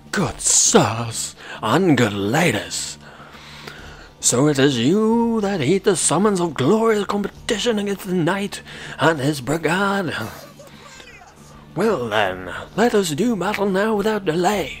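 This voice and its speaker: With faint music in the background, a man uses a put-on character voice at a high pitch and a fairly slow pace. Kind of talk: mock-chivalric speech. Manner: grandiose, earnest, courtly.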